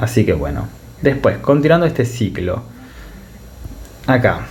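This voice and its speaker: This man talks at a medium pitch with lively intonation. Audible room echo and noticeable background noise surround his voice. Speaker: medical tutor. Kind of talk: lecture. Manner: fast.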